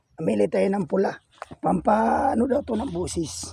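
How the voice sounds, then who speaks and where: Shouting loudly, a man yells in a high-pitched voice. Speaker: vlogger, farmer and gamefowl breeder. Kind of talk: casual vlog tour. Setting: outdoors on a farm. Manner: loud, shouting at dogs.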